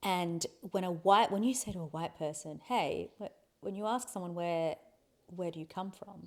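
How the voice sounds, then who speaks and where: The speaker has an Australian accent, talking at a moderate pace with ordinary pitch variation. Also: woman, medium pitch for a woman. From Australia, Adelaide. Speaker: podcast guest, host's wife. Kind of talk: casual conversation. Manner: halting, with many restarts.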